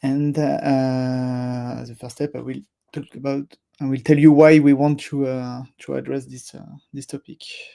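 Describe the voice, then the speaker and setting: With a French accent, a man speaks fairly slowly at a medium pitch, his tone dark and mellow, his intonation monotone and flat, and his loudness swinging widely. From France. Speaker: software product manager. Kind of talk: live stream presentation. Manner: hesitant, many fillers.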